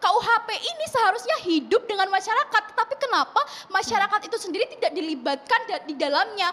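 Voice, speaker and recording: A woman speaks in a raised, projected voice. Her pitch is extremely high and swings very widely. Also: fairly quick pace. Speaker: student activist. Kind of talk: televised talk show debate. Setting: TV studio. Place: studio. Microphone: handheld.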